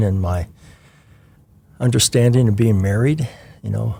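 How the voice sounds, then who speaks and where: On a very clean recording with a silent background, a man with a fairly low pitch speaks in a dark, mellow, somewhat breathy tone with ordinary pitch variation. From Washington State, US Pacific Northwest. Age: 60s. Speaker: retired church member, children's ministry volunteer. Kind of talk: interview. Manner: halting, many fillers.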